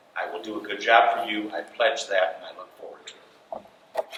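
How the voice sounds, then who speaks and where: A man talks with noticeable background noise behind him and audible room echo around his voice. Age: 60s. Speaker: political candidate, retired judge. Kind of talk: candidate forum speech.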